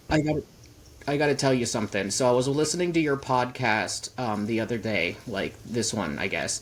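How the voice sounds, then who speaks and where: A man at a fairly quick pace, medium-pitched, with lively intonation. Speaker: podcast guest. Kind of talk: casual chat. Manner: quiet.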